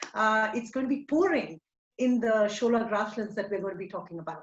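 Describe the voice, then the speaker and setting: Somewhat breathy, a woman speaks in a Tamil accent. Her pace is moderate. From India, Tamil Nadu. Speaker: ecologist. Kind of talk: lecture. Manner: hesitant, many fillers.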